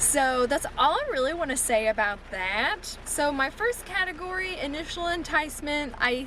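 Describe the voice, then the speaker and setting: Over noticeable background noise, a woman uses a raised, projected voice with lively intonation. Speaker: booktuber. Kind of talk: casual vlog review. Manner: loud.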